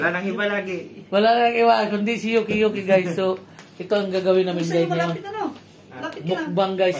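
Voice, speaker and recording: Noticeable background noise sits behind a man's voice. He speaks at a fairly quick pace with ordinary pitch variation. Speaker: vlogger host. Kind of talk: casual vlog chat. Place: home room. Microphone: phone near.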